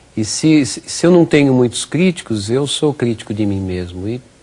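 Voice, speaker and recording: A man speaks at a fairly slow pace with lively intonation. Noticeable background noise runs under his voice. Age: 60s. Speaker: physical education professor. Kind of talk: TV interview. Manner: halting, many repetitions.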